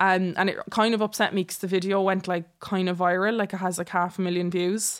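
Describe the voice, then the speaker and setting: A woman with an Irish accent speaks at a medium pitch and fairly quick pace, with hardly any pauses. Her intonation is monotone and flat, on a very clean recording with a silent background. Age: 20s. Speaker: social media content creator. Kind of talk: casual interview chat.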